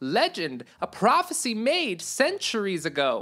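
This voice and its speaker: A woman puts on a character voice with a fairly high pitch. She speaks at a fairly slow pace. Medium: read story. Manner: deferential, formal.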